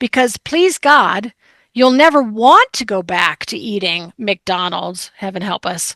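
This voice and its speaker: Recorded very cleanly against a silent background, a woman with an American accent speaks in a fairly high, bright, sharp voice, her loudness swinging widely in a dry, close sound with no echo. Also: lively intonation. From New Jersey. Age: 60s. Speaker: diet educator and chef. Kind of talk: interview.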